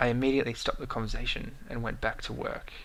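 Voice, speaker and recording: The speech moves at a very fast pace. It carries an Australian accent. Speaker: YouTube commentator. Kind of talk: vlog monologue. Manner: hesitant, with fillers and self-corrections.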